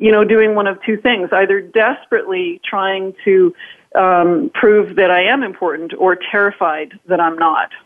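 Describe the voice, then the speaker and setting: She has an unremarkable speaking voice, pitched in the middle range. Her speed is moderate, and her pitch moves in an ordinary way. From northern Canada. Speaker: author and influence speaker. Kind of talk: interview.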